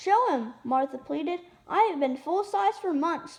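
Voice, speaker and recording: This is a put-on character voice. A woman speaks at an extremely high pitch. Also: moderate pace. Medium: read story. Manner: bossy.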